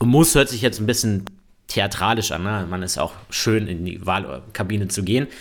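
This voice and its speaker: Fairly low in pitch, a man talks at a moderate pace with ordinary pitch variation on a very clean recording with a silent background. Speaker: politician, member of parliament. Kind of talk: casual chat. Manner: halting, many fillers.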